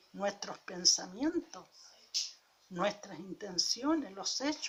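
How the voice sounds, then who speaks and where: A woman speaking at a very slow pace. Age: 70s. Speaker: preacher. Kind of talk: sermon.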